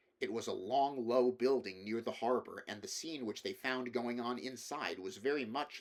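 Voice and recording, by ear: Reading aloud, the speaker uses a natural voice.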